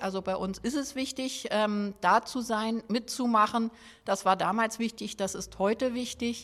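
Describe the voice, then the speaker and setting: In a very clean recording with a silent background, a woman with an unremarkable speaking voice and fairly high pitch speaks at a fairly slow pace with ordinary pitch variation. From Berlin (Schöneberg). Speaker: district mayor. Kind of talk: interview.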